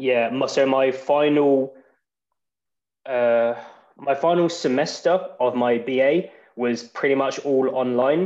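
A man speaks with an English accent at a medium pitch. His pitch moves in an ordinary way. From England. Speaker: English graduate and podcaster. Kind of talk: casual interview.

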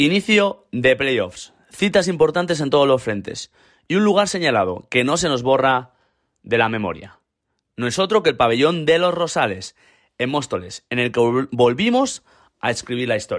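A fairly high-pitched male voice with very wide pitch swings at a moderate pace, on a very clean recording with a silent background. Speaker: club podcast host. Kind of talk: scripted narration; interview.

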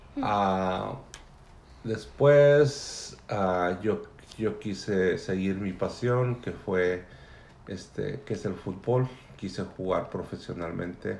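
A man's fairly low pitch at a very slow pace, with ordinary pitch variation. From Mexico City area. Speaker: immigrant father interviewed by daughter. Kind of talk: family interview.

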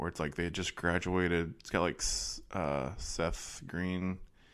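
Vocal fry runs through the voice, which has ordinary pitch variation. The recording is very clean, with a silent background. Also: man. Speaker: podcast host. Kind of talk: casual banter about movies.

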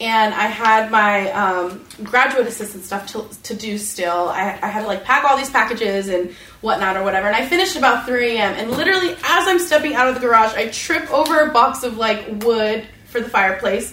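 A woman with an American accent talks at a fairly quick pace with hardly any pauses, her pitch fairly high, against noticeable background noise. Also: lively intonation. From Las Vegas, Nevada. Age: 30s. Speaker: state legislator. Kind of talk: panel discussion. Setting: stage with audience.

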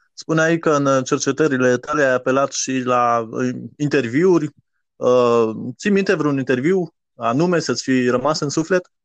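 A man's fairly high-pitched voice at a fairly slow pace, ordinary pitch variation, an ordinary speaking voice. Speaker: podcast host. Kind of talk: podcast intro and interview.

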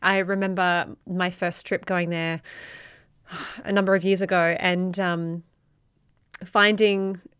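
A woman's medium-pitched voice on a very clean recording with a silent background. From Australia. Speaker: podcast host. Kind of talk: interview conversation.

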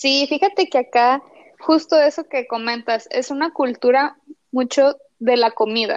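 This woman has a high-pitched voice with ordinary pitch variation. She talks at a fairly slow pace. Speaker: animation artist. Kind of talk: interview.

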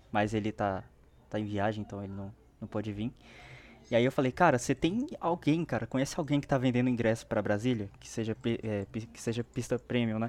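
An unremarkable speaking voice from a man, medium in pitch with ordinary pitch variation, fairly quick, with big swings in loudness, on a very clean recording with a silent background. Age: 20s. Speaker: fan page creator. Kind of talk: casual chat.

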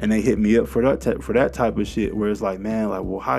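The speaker talks at a very fast pace in an animated tone with very wide pitch swings. Music sounds in the background. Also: man. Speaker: podcast host, self-styled investing commentator. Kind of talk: angry rant, raw and profane monologue on finance gurus. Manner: fired-up, agitated, emphatic; street-slang, conversational, animated.

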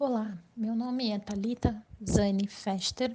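At a very slow pace, a woman of medium pitch talks with fairly even intonation. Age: 30s. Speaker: purchasing manager. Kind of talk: recorded testimony.

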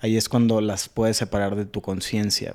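The recording is very clean, with a silent background. A man speaks in a dark, mellow tone at a medium pitch and a moderate pace. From Sonora, Mexico (San Carlos). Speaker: mental health talk show host and musician. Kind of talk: casual chat.

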